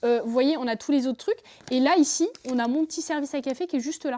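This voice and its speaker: Very fast and high-pitched, a woman speaks in a dark, mellow tone with ordinary pitch variation. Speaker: YouTuber. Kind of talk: casual vlog. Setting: home bar. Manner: stuttering at times.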